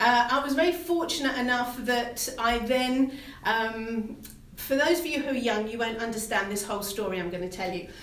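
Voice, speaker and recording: A woman talks at a high pitch and a moderate pace with ordinary pitch variation. Audible room echo and noticeable background noise are present. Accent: British. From UK. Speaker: fitness trainer. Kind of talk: live stream talk.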